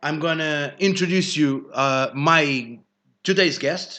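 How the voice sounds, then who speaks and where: Speaking with a Portuguese accent, a man has a fairly high pitch, ordinary pitch variation, and a bright, sharp tone. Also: quiet background. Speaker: live show host. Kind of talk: live show monologue. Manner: halting.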